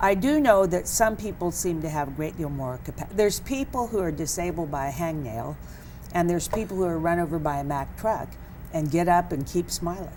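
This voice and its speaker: Lively intonation from a woman with a fairly low pitch, at a fairly quick pace, with audible room echo. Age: 70s. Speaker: author. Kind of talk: interview.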